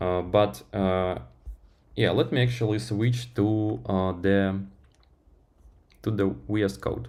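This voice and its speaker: In a room with audible room echo, a man with a fairly low pitch talks at a very slow pace with long, frequent pauses and lively intonation. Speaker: software developer streamer. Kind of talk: live-stream tech talk. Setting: live stream. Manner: halting, many fillers.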